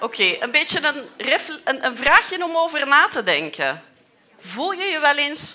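This woman speaks at a high pitch. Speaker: researcher. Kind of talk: lecture for children. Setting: lecture hall with audience. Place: hall.

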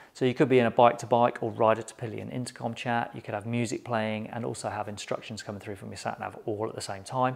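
With vocal fry and a fairly low pitch, a man speaks fast, leaving few pauses and keeping his intonation fairly even.

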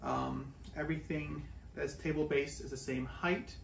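Light background noise sits under audible room echo in this recording. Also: man. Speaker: woodworking YouTuber. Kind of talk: casual vlog-style review. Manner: casual, unscripted. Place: workshop. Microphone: camera far.

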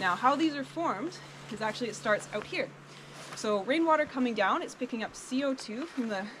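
Over noticeable background noise, a woman's speech moves at a fairly quick pace. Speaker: cave tour guide. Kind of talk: guided tour explanation. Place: forest. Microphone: camera far.

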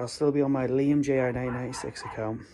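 Monotone, flat intonation marks this man's speech. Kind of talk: casual vlog chat. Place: home room. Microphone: phone near.

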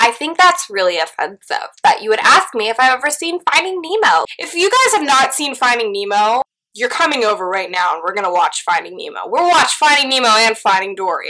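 Projecting a raised voice over a quiet background, a woman talks with a high pitch, very wide pitch swings and hardly any pauses. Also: fairly quick pace. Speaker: YouTuber. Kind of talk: casual vlog Q&A. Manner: animated. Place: home room. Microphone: distorted audio; phone near.

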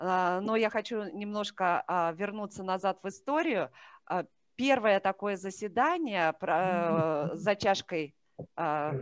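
Over a quiet background, a woman talks at a very slow pace and medium pitch with lively intonation. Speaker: department head. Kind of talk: event opening speech. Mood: warm, welcoming. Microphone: video call.

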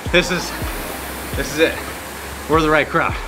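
Over noticeable background noise, a man talks at a fairly quick pace in a high pitch. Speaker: rowing coach. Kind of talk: workout coaching talk. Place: gym.

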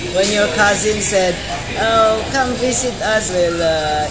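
Behind a woman's speech, clear music plays in the background. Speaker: vlogger. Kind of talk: casual vlog chat. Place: cafe. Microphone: phone near.

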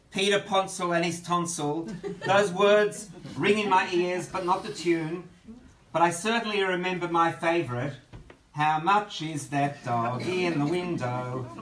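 A man talks at a fairly slow pace and a high pitch, with audible room echo and light background noise. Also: ordinary pitch variation. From Melbourne, Australia. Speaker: author, giving a eulogy for his brother. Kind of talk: eulogy delivered at a memorial gathering. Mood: tender, grieving, nostalgic. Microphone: phone near.

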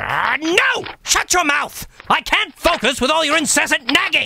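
A man does a cartoonish character voice with an extremely high pitch at a moderate pace. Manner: theatrical, blustering.

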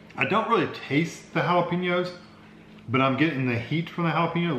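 Light background noise and audible room echo accompany a man speaking. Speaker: food reviewer. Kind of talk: casual taste-test vlog chat. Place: home room. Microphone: phone near.

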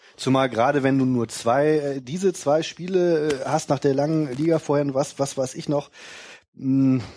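In a very clean recording with a silent background, a man talks at a fairly slow pace with medium pitch and fairly even intonation. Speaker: podcast co-host. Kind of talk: casual chat. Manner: jokey.

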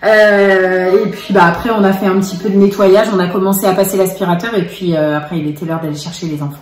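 The speech comes at a fairly quick pace, with audible echo from the room. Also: woman. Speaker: family vlogger. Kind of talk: casual vlog chat. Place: kitchen. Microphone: phone near.

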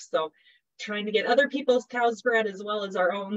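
With a quiet background, a woman speaks at medium pitch and a moderate pace, using ordinary pitch variation. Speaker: cattle reproduction specialist. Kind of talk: educational webinar presentation. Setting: video call. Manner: friendly, humorous. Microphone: video call.

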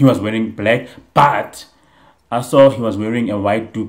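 In a plain, everyday voice, a man speaks at a fairly low pitch with fairly even intonation. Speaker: reaction vlogger. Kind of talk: casual vlog chat. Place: home room. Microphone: earbuds.

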